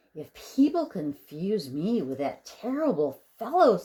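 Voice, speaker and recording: A female-sounding put-on character voice at a medium pitch, with very wide pitch swings and a fairly slow pace. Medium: read story. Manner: timid, hopeful.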